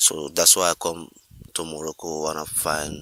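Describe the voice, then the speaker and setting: A man's very deep, low voice holds a monotone, flat intonation. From Gambia. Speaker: migrant. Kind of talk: interview testimony.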